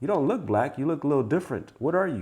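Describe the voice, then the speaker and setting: Against a quiet background, a man with an African accent speaks with lively intonation. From Africa, raised in the United States. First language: African language. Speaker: wealth guest. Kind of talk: casual conversation.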